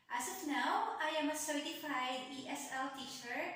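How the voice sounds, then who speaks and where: A woman talks at a very slow pace and high pitch. Audible room echo and noticeable background noise surround her voice. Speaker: online English teacher. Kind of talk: self-introduction video.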